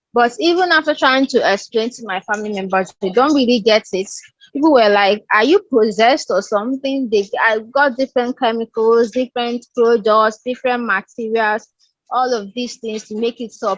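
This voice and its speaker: A woman's fairly high voice, an unremarkable speaking voice, at a moderate pace with ordinary pitch variation and a dry, close sound with no echo. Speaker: podcast host. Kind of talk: podcast interview discussion. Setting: recorded video call.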